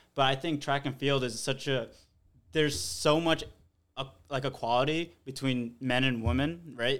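Here is an ordinary speaking voice: a man with an American accent at a medium pitch. He moves at a moderate pace with ordinary pitch variation. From New York. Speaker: middle-distance runner. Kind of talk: casual chat.

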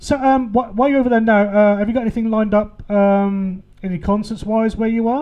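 A high-pitched man with an English accent, fairly quick in pace, with fairly even intonation. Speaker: radio DJ. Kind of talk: radio DJ patter. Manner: chatty, warm, jokey.

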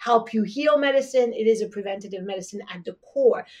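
The speaker has a French accent and talks at a moderate pace. Their pitch varies in an ordinary way. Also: woman. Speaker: traditional Chinese medicine practitioner. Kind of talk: podcast interview.

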